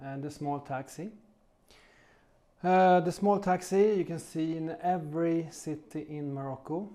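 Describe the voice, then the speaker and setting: With long, frequent pauses, a man speaks in a high pitch and a dark, mellow tone, keeping his intonation fairly even. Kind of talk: casual talk to camera. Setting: studio. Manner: slow.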